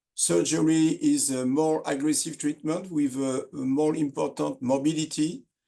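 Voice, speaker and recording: A man with a French accent speaks at a moderate pace with hardly any pauses, his fairly high voice carrying a dark, mellow tone. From France. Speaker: surgeon. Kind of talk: lecture. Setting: webinar. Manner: halting, many fillers.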